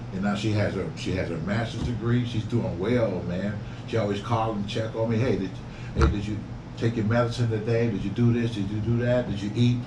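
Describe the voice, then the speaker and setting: Over noticeable background noise and audible room echo, a man with a fairly low pitch talks at a fairly quick pace with fairly even intonation. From Detroit, US Midwest. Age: 60s. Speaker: YouTuber and real estate investor. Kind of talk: casual interview chat.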